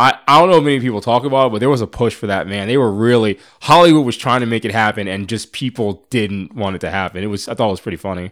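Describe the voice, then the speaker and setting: A man at medium pitch with an American accent, talking at a very fast pace with hardly any pauses and ordinary pitch variation, in a very clean recording with a silent background. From US Northeast, suburban Philadelphia. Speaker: podcast guest. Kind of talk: casual chat.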